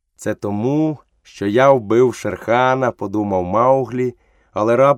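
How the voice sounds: Quiet surroundings, a natural reading voice, and ordinary pitch variation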